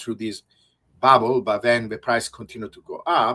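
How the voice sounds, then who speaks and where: Speaking with an Italian accent, a man of medium pitch uses a bright, sharp tone at a moderate pace. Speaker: researcher. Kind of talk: interview.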